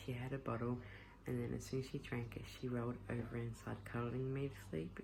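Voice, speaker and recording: This woman has an Australian accent. She moves along at a fairly quick pace. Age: 20s. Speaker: stay-at-home mum vlogger. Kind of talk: casual talk to camera.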